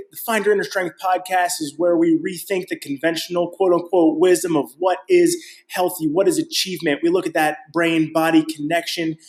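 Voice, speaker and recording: This man talks in an upbeat tone with a high pitch. He keeps a moderate pace with hardly any pauses. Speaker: personal trainer and podcast host. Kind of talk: podcast intro.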